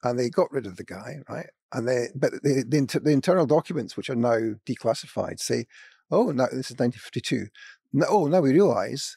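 A man with a Scottish accent and a medium pitch speaks at a fairly quick pace in a dark, mellow tone with lively intonation, the sound dry and close with no echo on a very clean recording with a silent background. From Scotland. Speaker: former sociology professor. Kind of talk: panel discussion. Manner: halting.

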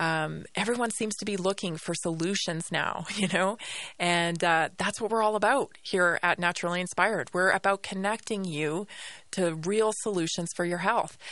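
An ordinary speaking voice moves at a moderate pace with fairly even intonation over a quiet background. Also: woman, medium pitch for a woman. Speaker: radio host. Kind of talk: radio dj patter. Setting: studio. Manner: conversational.

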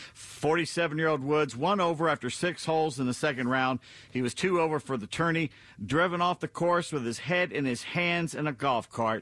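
Using a plain, everyday voice, a man talks at a fairly high pitch with ordinary pitch variation. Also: moderate pace. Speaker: radio producer and sports commentator. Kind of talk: casual talk radio chat. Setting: studio.

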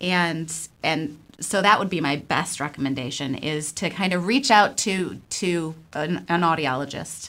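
A woman's ordinary speaking voice with an American accent, fairly low in pitch with ordinary pitch variation, at a fairly slow pace. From Buffalo, New York. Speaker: audiologist. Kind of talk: radio interview.

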